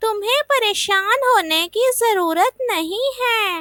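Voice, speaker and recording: Putting on a character voice, a woman speaks at an extremely high pitch and a very slow pace with lively intonation. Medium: read story. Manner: childishly naive.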